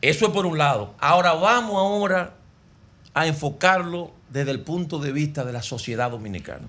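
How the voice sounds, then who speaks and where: A bright, sharp tone with lively intonation at a moderate pace. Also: man, fairly high pitch for a man. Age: 50s. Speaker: sports radio broadcaster. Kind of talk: casual chat.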